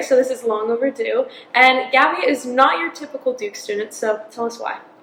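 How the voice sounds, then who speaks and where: With noticeable background noise behind it, the voice carries ordinary pitch variation and moves along at a fairly quick pace. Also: woman, high pitch for a woman. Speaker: podcast host. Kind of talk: podcast interview hosting.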